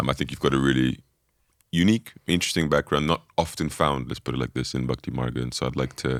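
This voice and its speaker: A man speaks at a very fast pace with a very deep, low pitch and vocal fry. His pitch varies an ordinary amount. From Brazil. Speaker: podcast host, monk. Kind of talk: interview conversation.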